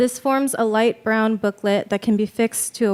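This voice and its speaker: Mumbling at a fairly high pitch with fairly even intonation, a woman is heard in a dry, close recording with no echo and noticeable background noise. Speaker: MFA fiction writer. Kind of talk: reading aloud. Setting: stage with audience.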